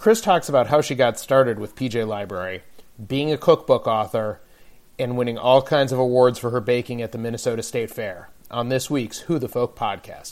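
A man with an American accent speaks in a normal speaking voice at a medium pitch, with ordinary pitch variation and a moderate pace. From Detroit. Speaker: podcast host and editor. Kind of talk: casual interview; scripted intro and outro.

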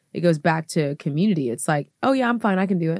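In a dry, close, very clean recording with no echo and a silent background, a woman talks at a fairly quick pace with a fairly low pitch and an animated tone. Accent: American. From Houston, Texas. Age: 30s. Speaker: pastor's wife and women's ministry founder. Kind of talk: podcast interview. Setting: studio.

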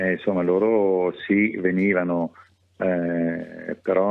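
The man's voice sits very deep and low. His intonation is monotone and flat. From Milan, northern Italy. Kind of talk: radio interview. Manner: halting.

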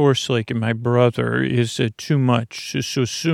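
The intonation is fairly even. The text is read aloud in a natural voice.

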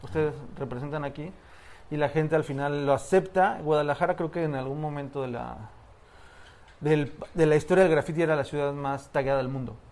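A man's normal speaking voice, fairly high in pitch, with fairly even intonation at a fairly quick pace. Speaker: graffiti storyteller, podcast co-host. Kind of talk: storytelling.

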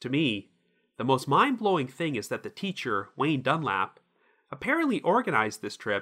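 At a fairly quick pace, a man speaks with a bright, sharp tone, a fairly high pitch, very wide pitch swings and vocal fry. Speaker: podcast host. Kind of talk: true-crime narration. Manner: measured, serious; steady, even storytelling delivery.

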